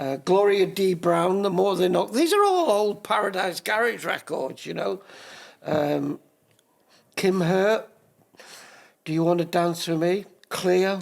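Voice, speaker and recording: Speaking with a Manchester accent, a man with a high voice goes at a fairly slow pace with fairly even intonation and long, frequent pauses. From northern England, Manchester. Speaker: DJ. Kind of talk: casual interview chat.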